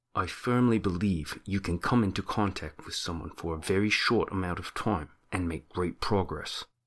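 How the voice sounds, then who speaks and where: Mumbling in a put-on character voice with an Australian accent, a man talks at a very deep, low pitch and a moderate pace, with hardly any pauses. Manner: very quiet, mumbling.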